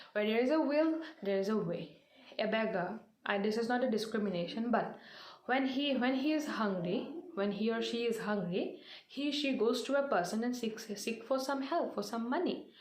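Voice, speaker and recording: Fairly high and lively in intonation, a woman's voice holds very even loudness at a moderate pace, with audible room echo around it. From India, Assam (North Lakhimpur). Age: 20s. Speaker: motivational speaker. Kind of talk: motivational talk. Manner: halting, many fillers.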